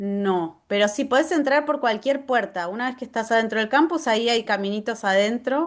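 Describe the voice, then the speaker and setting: At a fairly quick pace, a woman talks with lively intonation and a fairly high pitch. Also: quiet background. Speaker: agroecology garden workshop presenter. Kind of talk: Q&A at end of online workshop. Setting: video call.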